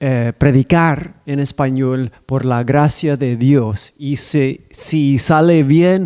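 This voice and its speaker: The voice carries a non-native accent and a dark, mellow tone. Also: man. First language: not Spanish (speaking Spanish). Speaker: preacher. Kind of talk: sermon. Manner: halting.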